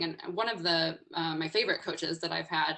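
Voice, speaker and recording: The voice is loud and bright with a sharp tone, and vocal fry runs through it. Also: woman. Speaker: executive coach and webinar speaker. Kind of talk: webinar presentation. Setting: online webinar. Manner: energetic, informal.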